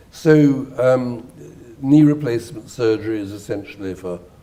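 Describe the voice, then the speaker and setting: A dark, mellow tone with ordinary pitch variation, in a British accent. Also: man. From Britain. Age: 70s. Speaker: neurosurgeon and writer. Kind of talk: interview answer.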